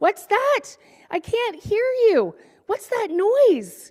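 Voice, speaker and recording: A woman's put-on character voice, extremely high and squeaky, at a very slow pace. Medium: read story.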